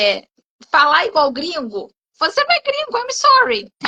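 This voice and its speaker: The voice is raised and projected, bright and sharp in tone. Its pitch swings very widely. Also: woman. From Rio de Janeiro, Brazil. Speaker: English teacher. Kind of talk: live interview chat. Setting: online live stream.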